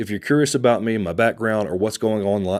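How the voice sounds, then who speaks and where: A man's medium-pitched voice with a Texan accent, on a very clean recording with a silent background. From Texas. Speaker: real estate agent and channel host. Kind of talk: casual vlog address to camera.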